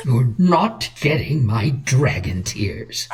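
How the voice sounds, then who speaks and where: Over light background noise, a woman uses a put-on character voice, growling at a very slow pace with a very deep, low pitch. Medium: audio drama. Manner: dry, wry.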